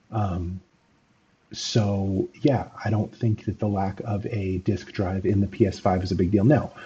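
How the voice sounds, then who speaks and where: A man's fairly low, dark and mellow voice, somewhat breathy, very slow, with fairly even intonation over light background noise. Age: 30s. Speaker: gaming commentator. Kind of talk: video commentary monologue. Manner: halting, many fillers. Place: home room.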